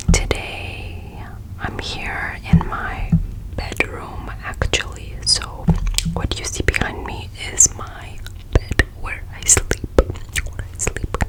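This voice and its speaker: There is noticeable background noise. Through it, a woman whispers very slowly. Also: big swings in loudness. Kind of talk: ASMR makeup try-on. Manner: whispered, soft-spoken.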